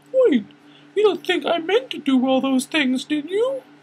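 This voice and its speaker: Pitched high, a put-on character voice delivers its lines at a moderate speed. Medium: read story. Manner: bright, eager.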